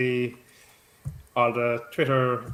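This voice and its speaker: In a Cork accent, a man talks at a medium pitch. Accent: Irish, Cork. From Ireland, Cork. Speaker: fantasy football site social media staff. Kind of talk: casual chat.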